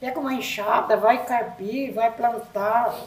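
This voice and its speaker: In a room with audible echo and noticeable background noise, a woman speaks at a very slow pace in a high voice. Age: 70s. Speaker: podcast guest, grandmother. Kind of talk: casual chat.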